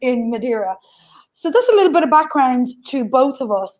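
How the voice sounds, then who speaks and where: Speaking with an Irish accent, a woman uses a high pitch. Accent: soft Irish. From west coast of Ireland. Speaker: remote work consultant and academic. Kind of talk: online panel talk.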